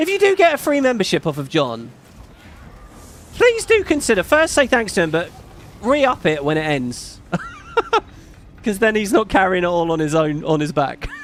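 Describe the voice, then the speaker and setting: A man's voice swings very widely in pitch, broken by long, frequent pauses. Noticeable background noise runs underneath. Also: moderate pace. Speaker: streamer reading donations, voice actor. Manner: casual, rambling, many fillers.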